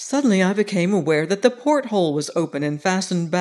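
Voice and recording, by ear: A natural voice reading aloud, intonation lively.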